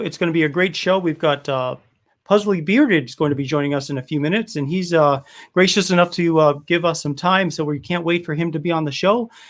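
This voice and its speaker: Speaking at a fairly quick pace with a Rhode Island accent, a man with a high pitch and ordinary pitch variation comes through on a very clean recording with a silent background. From US Northeast, Rhode Island (Cranston, Providence). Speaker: beard oil business owner and livestream host. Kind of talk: casual livestream chat. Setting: live stream. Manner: animated.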